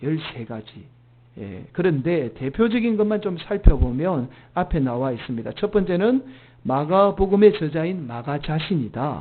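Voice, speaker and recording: A man speaks at a fairly slow pace and a fairly high pitch. His pitch swings very widely, and his loudness shifts a great deal. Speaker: senior pastor. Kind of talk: sermon. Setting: church Sunday service.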